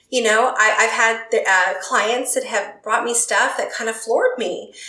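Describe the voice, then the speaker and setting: A woman talking at a medium speed is heard with noticeable background noise and audible echo in the room. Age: 50s. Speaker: clinical psychologist. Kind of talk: interview conversation.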